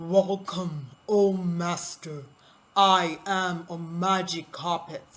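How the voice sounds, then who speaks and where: A female-sounding voice puts on a loud, booming character voice at a fairly low pitch. The pace is very slow. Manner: formal, welcoming.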